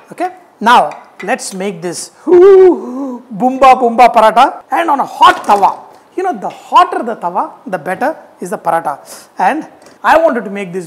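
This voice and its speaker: At a moderate pace, a man talks with big swings in loudness and long, frequent pauses. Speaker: cooking show host. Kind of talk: tutorial. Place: kitchen. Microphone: lapel.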